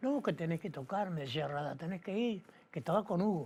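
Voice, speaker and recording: A somewhat breathy man's voice with lively intonation. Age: 80s+. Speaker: retired musician, drummer. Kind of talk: documentary interview.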